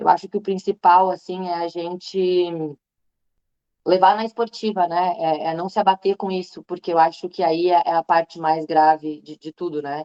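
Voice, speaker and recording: This is a normal speaking voice at a moderate pace with fairly even intonation. Its loudness swings widely. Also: woman, fairly low pitch for a woman. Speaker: veterinarian and breast cancer patient. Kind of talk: testimony. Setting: online live stream.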